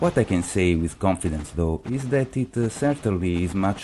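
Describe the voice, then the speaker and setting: This man's voice has a dark, mellow tone. He talks at a moderate pace with ordinary pitch variation. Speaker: video game reviewer. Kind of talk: game review narration.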